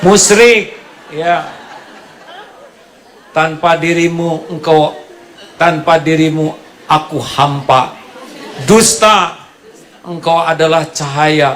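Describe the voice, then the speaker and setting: A man with a West Javanese accent speaks very slowly at a fairly high pitch, with long, frequent pauses and very even loudness. Noticeable background noise is present. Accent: Sundanese. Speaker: Islamic preacher. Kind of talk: humorous religious sermon. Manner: joking, lively.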